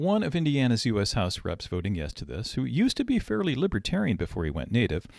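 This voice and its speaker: A man at medium pitch with vocal fry and very wide pitch swings, at a moderate pace, in a very clean, dry, close recording with a silent background and no echo. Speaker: political commentator. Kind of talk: podcast monologue.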